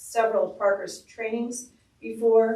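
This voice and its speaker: The woman's voice sits at a fairly high pitch. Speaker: advisory board member. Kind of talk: public meeting discussion. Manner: loud; halting.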